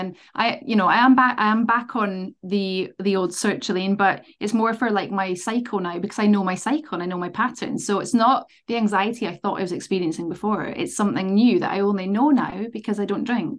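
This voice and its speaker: With ordinary pitch variation, a plain, everyday voice talks at a fairly quick pace. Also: woman. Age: 30s. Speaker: dog trainer. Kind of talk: casual interview.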